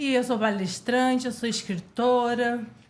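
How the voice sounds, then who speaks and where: A woman speaks at a very slow pace with a fairly high pitch and ordinary pitch variation. Audible room echo surrounds her voice. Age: 20s. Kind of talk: interview chat.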